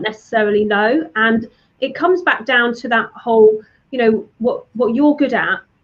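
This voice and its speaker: A woman with a British accent, high pitch, ordinary pitch variation and moderate pace. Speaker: digital marketing strategist. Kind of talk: interview.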